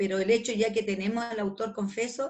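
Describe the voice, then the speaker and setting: Speaking at a moderate pace, a woman uses a fairly high pitch with monotone, flat intonation. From northern Chile (Calama). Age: 60s. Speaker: retired police detective. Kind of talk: interview. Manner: halting, with frequent repetitions.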